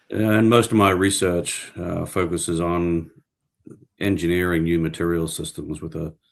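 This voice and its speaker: On a very clean recording with a silent background, a man with an Australian accent talks in a very deep, low voice with fairly even intonation. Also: moderate pace. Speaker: professor. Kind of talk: interview.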